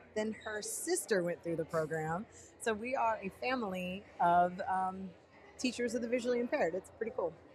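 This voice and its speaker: A woman in a Texas accent, lively intonation, moderate pace. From Texas, Dallas. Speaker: teacher of the visually impaired. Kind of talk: casual chat.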